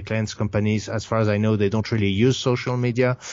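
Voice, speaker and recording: The speaker has a French accent. The intonation is monotone and flat. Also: man. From France. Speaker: game studio founder. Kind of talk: casual interview. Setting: remote call. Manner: halting, many fillers.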